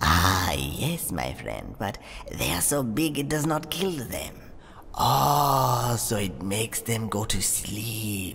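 Using a put-on character voice at a medium pitch, a man talks at a very slow pace with very wide pitch swings over clear background noise. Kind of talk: roleplay story dialogue.

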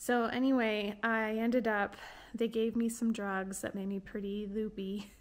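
The woman's pace is fairly slow. She keeps her intonation monotone and flat. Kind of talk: casual vlog chat. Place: home room. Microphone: phone near.

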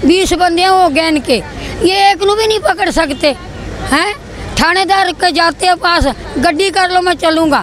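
Against crowd noise in the background, a woman speaks at a fairly slow pace in an extremely high voice with ordinary pitch variation, very even loudness and a dry sound with no echo. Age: old. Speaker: complainant grandmother. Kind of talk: public grievance plea to politician. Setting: outdoors public meeting. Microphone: handheld.

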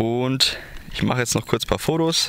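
With vocal fry, a man speaks in a bright, sharp tone.

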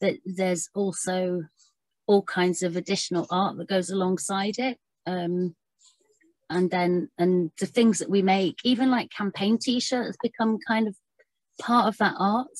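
At a fairly slow pace, a woman talks with ordinary pitch variation in a dry sound with no echo against a quiet background. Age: 40s. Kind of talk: online panel presentation. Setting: video call. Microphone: video call.

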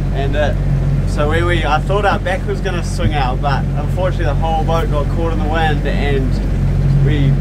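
A man keeps a moderate pace while loud background noise fills the recording. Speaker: sailing vlogger. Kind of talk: casual vlog chat. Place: boat. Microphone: phone near.

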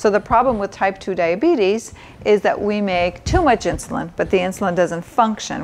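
Here a woman speaks at a moderate pace. Her pitch varies in an ordinary way. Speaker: doctor cooking show host. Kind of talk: tutorial. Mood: warm, informative. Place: kitchen.

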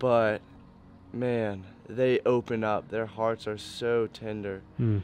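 Over light background noise, a man speaks at a very slow pace with fairly even intonation, and the sound is dry with no echo. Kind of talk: interview answer. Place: waterside.

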